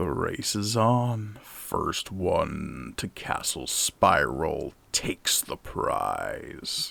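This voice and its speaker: In a put-on character voice with a smug tone, a man speaks at a very slow pace with hardly any pauses. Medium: actual play. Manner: slow, unhurried, smug.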